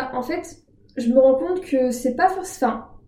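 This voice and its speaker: This woman has a high pitch and a dark, mellow tone, with ordinary pitch variation. She talks at a moderate pace, and some room echo is audible. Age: 20s. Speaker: student. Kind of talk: casual interview. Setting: in an apartment.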